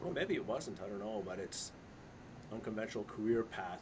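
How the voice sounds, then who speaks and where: An unremarkable speaking voice from a man, pitched fairly low and moving at a fairly quick pace. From Canada. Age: 60s. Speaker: investment consultant and author. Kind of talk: casual interview chat. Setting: live stream interview. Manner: conversational with many fillers and restarts.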